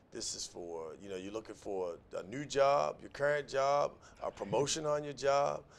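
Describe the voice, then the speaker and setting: With an American accent, a man has a plain, everyday voice at a fairly high pitch. He speaks at a moderate pace, with lively intonation and big swings in loudness. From US, Annapolis, Maryland. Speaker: talk show host. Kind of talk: interview.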